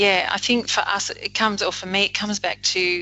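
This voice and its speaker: With an Australian accent, a woman talks in a monotone, flat intonation while music plays in the background. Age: 50s. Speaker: leadership coach. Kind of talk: casual interview.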